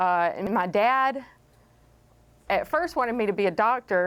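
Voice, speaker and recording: A woman speaks with a Southern US accent. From East Texas. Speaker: chemist. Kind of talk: panel talk telling life story. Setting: library talk with audience.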